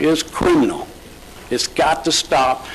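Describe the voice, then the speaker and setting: Noticeable background noise accompanies a man whose pitch varies in a normal way. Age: 60s. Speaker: real estate broker, public commenter. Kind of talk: public comment at county board meeting. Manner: halting, many fillers and restarts; emotional, impassioned.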